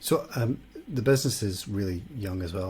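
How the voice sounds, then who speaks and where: This man's voice sits fairly low, with a dark, mellow tone. It comes across somewhat breathy. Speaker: podcast host. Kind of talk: podcast interview.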